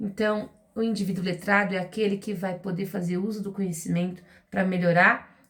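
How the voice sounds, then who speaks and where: Somewhat breathy, a woman with a fairly low pitch speaks at a moderate pace. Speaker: literacy teacher. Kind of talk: educational talk to parents.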